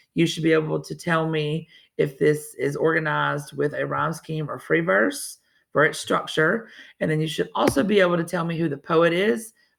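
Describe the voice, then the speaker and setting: In a very clean recording with a silent background, a woman with an American accent talks at a moderate pace. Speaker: teacher. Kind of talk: lesson for students. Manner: casual, conversational.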